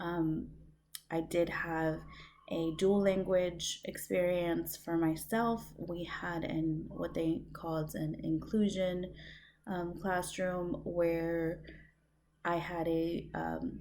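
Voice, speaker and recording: In a room with audible echo, a woman with a Spanish accent speaks very slowly with fairly even intonation. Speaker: student. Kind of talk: recorded course reflection. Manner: hesitant, many fillers.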